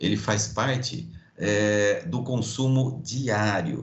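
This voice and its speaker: In a Brazilian accent, a man talks at a very slow pace, with audible room echo around his voice. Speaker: logistics professor. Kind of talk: online lecture.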